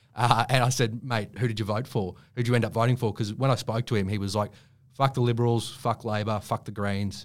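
On a very clean recording with a silent background, a man with an Australian accent and medium pitch speaks at a fairly quick pace with fairly even intonation. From Queensland, Australia. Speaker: writer and journalist. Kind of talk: casual interview. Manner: halting, with many fillers and restarts.

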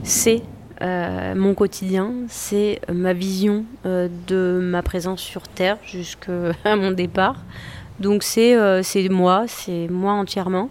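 Spoken at a very slow pace in a monotone, flat delivery, the voice sits over noticeable background noise. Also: woman, medium pitch for a woman. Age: 40s. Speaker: chef and social entrepreneur. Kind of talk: interview.

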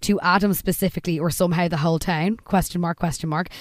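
A woman speaks with an Irish accent. Her pitch is fairly low. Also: very clean recording, silent background. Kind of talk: casual chat, recapping a TV episode.

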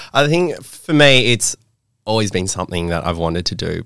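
A man with an Australian accent, fairly quick pace and lively intonation, on a very clean recording with a silent background. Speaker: podcast co-host. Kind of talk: casual chat.

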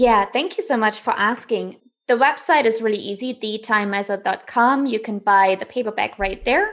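A woman speaks with a German accent at a moderate pace. Her pitch is fairly high, and the background is quiet. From East Germany. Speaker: author. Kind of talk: interview. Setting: video call.

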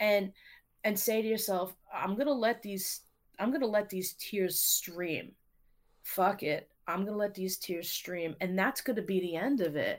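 On a very clean recording with a silent background, the speaker talks at a fairly slow pace with ordinary pitch variation and a normal speaking voice. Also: woman, medium pitch for a woman. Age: 40s. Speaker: teacher and poet. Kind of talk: casual interview.

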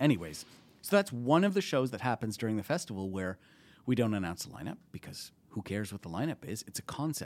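A man talks at a very fast pace with medium pitch and very wide pitch swings. The recording is very clean, with a silent background. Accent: Canadian. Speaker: TV and film producer at a comedy festival. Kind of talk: casual interview chat.

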